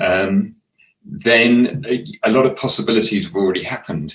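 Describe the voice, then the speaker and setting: The speaker talks at a fairly slow pace with an English accent. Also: man. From England. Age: 60s. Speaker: artist. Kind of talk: casual chat. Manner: halting.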